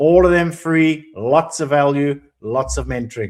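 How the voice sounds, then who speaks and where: Ordinary pitch variation in a man's fairly high voice. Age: 60s. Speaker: business analyst career mentor. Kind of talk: live webinar presentation. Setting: online live stream. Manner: hesitant, many fillers.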